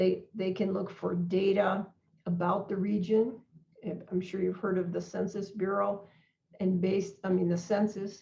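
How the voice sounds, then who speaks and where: At a moderate pace, the voice carries vocal fry and a dark, mellow tone, its intonation monotone and flat. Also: woman, medium pitch for a woman. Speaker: non-profit organization president. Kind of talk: online presentation.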